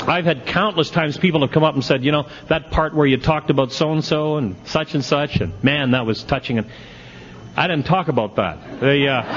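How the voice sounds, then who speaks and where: A man with a fairly high pitch talks at a fairly quick pace, his loudness very even and his pitch variation ordinary. Noticeable background noise runs underneath. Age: 60s. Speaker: recovery speaker at an AA convention. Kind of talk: speaker talk at a twelve-step convention. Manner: animated.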